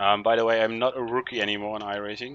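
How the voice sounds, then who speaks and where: A man speaks with a Dutch accent at a moderate pace. His intonation is monotone and flat. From Netherlands. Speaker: sim racing streamer. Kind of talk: live gaming commentary. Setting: attic at home, live stream. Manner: casual, hesitant with fillers.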